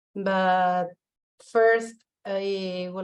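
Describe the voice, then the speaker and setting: This woman talks at a medium pitch and a very slow pace. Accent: non-native. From Argentina. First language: Spanish. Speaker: visual artist and curator. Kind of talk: online talk. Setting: online video session.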